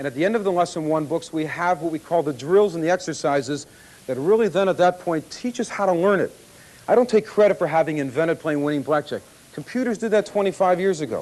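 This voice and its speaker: A man with a high pitch speaks very fast in a confident tone. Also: ordinary pitch variation. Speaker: blackjack expert and course instructor. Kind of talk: infomercial presentation to audience. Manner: confident, conversational, salesman-like.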